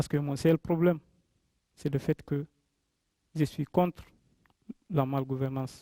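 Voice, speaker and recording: Fairly even intonation, long and frequent pauses, and a fairly slow pace come through in a dry, close sound with no echo. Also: man, fairly high pitch for a man. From Guinea. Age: 20s. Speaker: migrant speaker. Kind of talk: personal testimony talk to audience.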